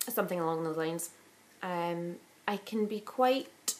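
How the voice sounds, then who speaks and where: A woman with a Glaswegian accent at a moderate pace. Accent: Glaswegian Scottish. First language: Italian. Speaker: vlogger. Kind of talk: casual chat.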